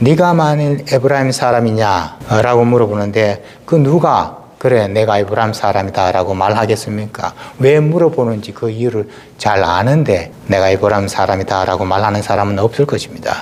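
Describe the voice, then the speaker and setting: Over noticeable background noise, a man speaks with a fairly low pitch and ordinary pitch variation. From South Korea, Gyeongsang region. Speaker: pastor. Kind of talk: sermon.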